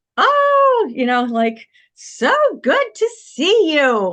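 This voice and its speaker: Using a put-on character voice, a woman talks very slowly at a high pitch. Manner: boisterous, cheerful greeting.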